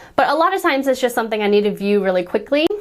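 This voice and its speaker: With noticeable background noise behind her, a woman talks very fast at a fairly high pitch with lively intonation. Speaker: planner designer and YouTuber. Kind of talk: tutorial.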